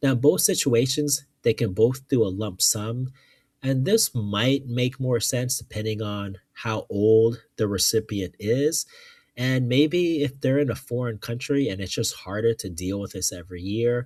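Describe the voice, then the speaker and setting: This man's voice is somewhat breathy and sits at a medium pitch. He talks at a fairly slow pace with ordinary pitch variation. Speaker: finance youtuber. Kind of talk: tutorial. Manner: casual, hesitant with fillers.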